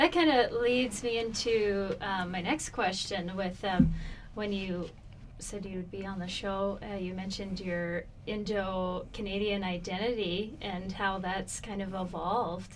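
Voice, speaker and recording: Fairly slow and with fairly even intonation, the delivery shows an unremarkable speaking voice. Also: woman, medium pitch for a woman. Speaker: interview show host. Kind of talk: interview.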